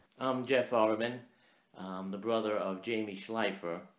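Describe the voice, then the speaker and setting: An American accent at a fairly slow pace, with lively intonation and audible room echo. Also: man. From Brooklyn, New York. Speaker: school maintenance worker. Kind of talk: audition video pitch. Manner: hesitant, many fillers.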